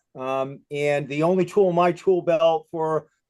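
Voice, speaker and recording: Using fairly even intonation, a man with a Boston accent speaks at a fairly high pitch. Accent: Boston accent, noticeable. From Massachusetts, Boston area. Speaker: retired police chief. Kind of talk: presentation on video call. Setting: video call. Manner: fast; many fillers and repetitions.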